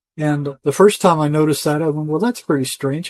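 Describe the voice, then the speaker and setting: This man has a normal speaking voice pitched fairly high. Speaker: retired psychotherapist. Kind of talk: interview answer. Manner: casual, conversational.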